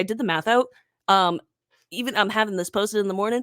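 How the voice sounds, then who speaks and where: Recorded dry and close with no echo, a woman speaks with a bright, sharp tone at a fairly high pitch. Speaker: podcast host. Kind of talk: casual chat. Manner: fast.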